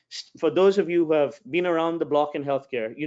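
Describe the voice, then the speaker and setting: This is a man talking. His pace is very fast. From New England. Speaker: health tech executive. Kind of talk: webinar discussion. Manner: halting, many repetitions.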